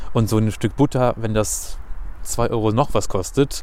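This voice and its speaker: A man talks at a moderate pace with medium pitch and lively intonation. Noticeable background noise sits behind him. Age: 20s. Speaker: radio and podcast host, trainee teacher. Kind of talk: casual interview. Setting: outdoors in a city forest.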